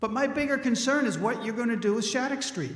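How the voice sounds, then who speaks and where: Audible room echo fills the recording. The voice is a man's. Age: 60s. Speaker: resident speaking at town meeting. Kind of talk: public comment at town meeting. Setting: town meeting hall.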